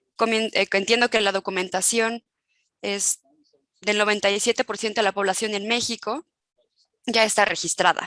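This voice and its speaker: A woman with a fairly high pitch and a bright, sharp tone talks at a moderate pace in a monotone, flat intonation, with long, frequent pauses. The recording is very clean, its background silent and its sound dry and close with no echo. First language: not Spanish (speaking Spanish). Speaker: human rights expert. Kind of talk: panel talk. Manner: halting, many fillers and restarts.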